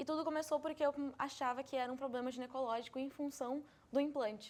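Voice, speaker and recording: A woman speaks very fast in a high-pitched voice. Her intonation is monotone and flat. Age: 20s. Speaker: interviewee with fibromyalgia. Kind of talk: interview.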